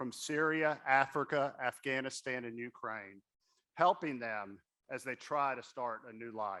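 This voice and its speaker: A man with a Southern US accent speaks at a moderate pace in a fairly high voice with a bright, sharp tone. His pitch varies in an ordinary way against a quiet background. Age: young. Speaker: board member and fundraising speaker. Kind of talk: fundraising appeal at a gala. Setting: stage at a gala with audience.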